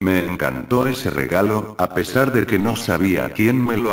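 In a plain, everyday voice, a man speaks at a fairly slow pace with a fairly low pitch and ordinary pitch variation. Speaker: creepypasta narrator. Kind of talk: scripted narration. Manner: first-person spooky storytelling, building suspense.

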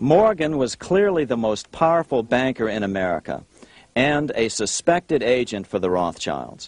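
The sound is dry with no echo. A man talks at a moderate pace and fairly high pitch with lively intonation. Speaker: documentary presenter. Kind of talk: history documentary narration. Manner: dramatic, measured storytelling pace, suspenseful.

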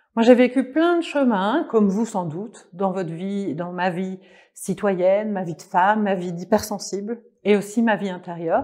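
Her pace fairly slow and her pitch varying in an ordinary way, the woman speaks over a quiet background. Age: 40s. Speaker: life coach. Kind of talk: online course presentation. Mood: warm, gentle, joyful. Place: home room.

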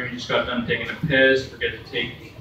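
A man speaks in a nervous tone amid noticeable background noise and audible room echo. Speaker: comedian. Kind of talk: stand-up. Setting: stage with audience. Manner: nervous, halting, filler-heavy delivery. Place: stage. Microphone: camera far.

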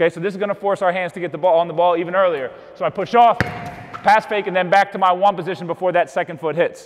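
A high-pitched man at a very fast pace, fairly even intonation and light background noise. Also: hardly any pauses. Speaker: basketball coach. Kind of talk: tutorial. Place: gym.

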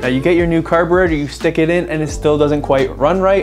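Over faint music in the background, a man talks at a very fast pace with ordinary pitch variation. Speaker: dirt bike mechanic youtuber. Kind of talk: tutorial. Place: garage. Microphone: phone near.

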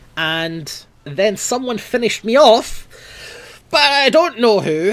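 A man speaks in a Scottish accent at a moderate pace. His pitch swings very widely. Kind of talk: gaming commentary. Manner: angry, frustrated.

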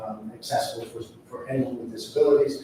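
Over noticeable background noise and audible room echo, a man with an American accent talks at a fairly quick pace in a monotone, flat intonation. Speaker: school district administrator. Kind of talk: public board meeting presentation. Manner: halting, many fillers.

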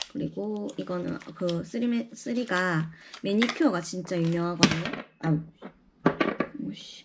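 Her pitch is fairly low and her intonation lively. The woman speaks at a moderate pace. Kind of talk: casual shopping haul talk to camera. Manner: rambling, unstructured.

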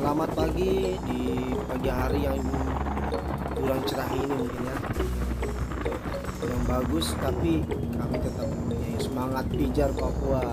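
Over music in the background, the speaker goes at a fairly slow pace with long, frequent pauses and ordinary pitch variation. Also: man. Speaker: travel vlogger. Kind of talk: casual vlog chat. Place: car. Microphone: phone near.

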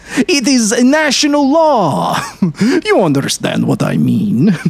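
The pace is very slow. Noticeable background noise can be heard. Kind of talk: character dialogue voiced within a read story. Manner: gruff, chatty old street-vendor voice, bantering and laughing.

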